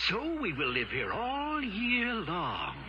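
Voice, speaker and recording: In a put-on character voice with a fairly high pitch, the speaker moves at a fairly slow pace over loud background noise. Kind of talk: children's story record. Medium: read story.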